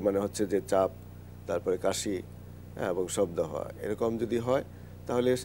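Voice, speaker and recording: Against light background noise, a man speaks with a fairly low pitch and a dark, mellow tone. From Bangladesh. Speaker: medicine professor. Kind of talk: live TV health talk. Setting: studio. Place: studio. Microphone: lapel.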